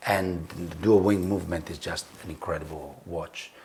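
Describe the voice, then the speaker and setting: A man with an Italian accent. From Italy. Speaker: tattoo artist and designer. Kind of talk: casual chat while cooking. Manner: halting, many fillers.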